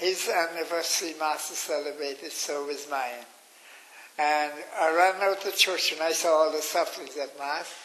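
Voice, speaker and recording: A man with a fairly high voice talks at a moderate pace and with fairly even intonation. Audible room echo and noticeable background noise surround him. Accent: Irish. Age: 90s. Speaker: interviewee recounting memories. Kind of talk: interview. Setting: radio.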